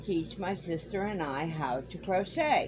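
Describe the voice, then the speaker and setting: A woman speaks at a medium pitch. Her pace is very slow. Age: 60s. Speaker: crochet YouTuber. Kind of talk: Q&A video, casual talk to camera. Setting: home, in a camper.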